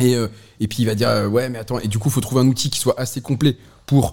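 A man talks at a very fast pace in a somewhat breathy voice. His medium pitch keeps a fairly even intonation. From northern France, Lille. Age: 30s. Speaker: brewery co-founder. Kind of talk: casual chat.

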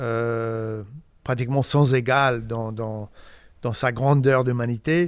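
The recording is very clean, with a silent background. A man speaks at a medium pitch with fairly even intonation. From US Midwest, Indiana. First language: English (speaking French). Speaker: photojournalist. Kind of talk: interview. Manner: halting, many repetitions and hesitations.

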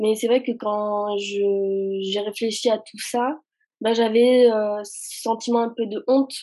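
At a very slow pace, a woman with a fairly high pitch speaks in a dark, mellow tone with fairly even intonation. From France, raised from age 4 (born in Algeria). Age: 20s. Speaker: anti-racism Instagram activist and student. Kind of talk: casual chat.

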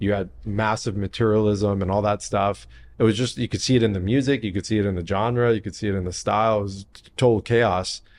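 Speaking with an American accent at a fairly quick pace, a man barely pauses, and his loudness swings widely. His pitch is fairly low and his intonation fairly even. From San Diego, California. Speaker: health company founder. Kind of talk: casual chat.

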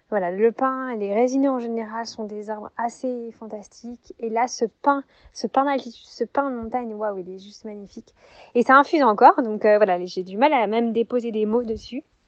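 A woman with a fairly high voice speaks at a moderate pace, her pitch varying in an ordinary way while her loudness swings widely. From southern France, Montpellier. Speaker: textile artist and yoga teacher. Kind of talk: recorded personal story (voice memo). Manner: hesitant, many fillers.

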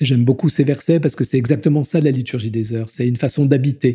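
A man is speaking with a dark, mellow tone. His voice is somewhat breathy. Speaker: deacon. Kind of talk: testimony. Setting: at home in his Paris flat. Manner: voluble; halting, repeats words.

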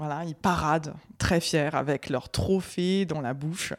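Very deep and low in pitch, a woman speaks at a fairly slow pace with ordinary pitch variation. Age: 30s. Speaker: dog breeder. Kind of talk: interview. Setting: guest's home.

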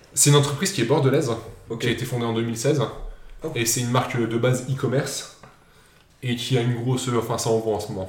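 A man at medium pitch talks very fast yet with long, frequent pauses and fairly even intonation, and audible room echo is present. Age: 20s. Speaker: podcast host running a quiz. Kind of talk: casual quiz chat.

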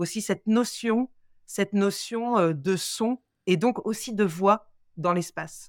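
Very slow speech from a woman at medium pitch with ordinary pitch variation, on a very clean recording with a silent background and a dry, close sound with no echo. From Paris suburbs, Seine-Saint-Denis (93). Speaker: opera singer. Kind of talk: interview.

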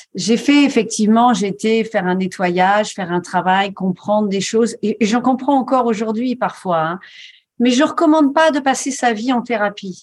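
A somewhat breathy, fairly high female voice at a moderate pace, on a very clean recording with a silent background. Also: ordinary pitch variation. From rural France. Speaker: coach and author. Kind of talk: interview.

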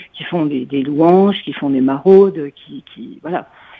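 Her voice is very deep and low, with lively intonation. The woman keeps a moderate pace. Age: 60s. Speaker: radio listener caller. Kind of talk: call-in comment. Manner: hesitant, many fillers.

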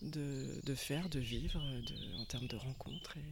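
A woman speaks very slowly with ordinary pitch variation. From western France, Anjou (Angers area). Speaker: forest bathing guide. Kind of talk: casual interview. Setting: outdoors, walking in a park. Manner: halting, many repetitions and fillers.

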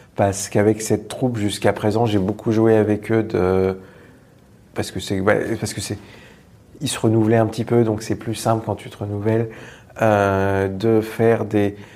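With long, frequent pauses, a man of fairly low pitch speaks at a moderate pace in a monotone, flat intonation. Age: 30s. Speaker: improv actor and teacher. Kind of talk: casual interview. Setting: theatre venue.

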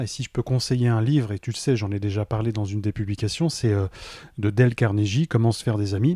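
A somewhat breathy voice with a dark, mellow tone moves at a fairly quick pace, recorded very clean, dry and close with no echo and a silent background. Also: man. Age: 30s. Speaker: entrepreneur. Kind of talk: interview. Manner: hesitant, many fillers.

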